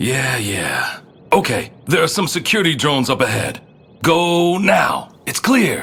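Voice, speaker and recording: Using a raspy, put-on character voice pitched high, a man talks at a fairly slow pace. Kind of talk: audio drama dialogue.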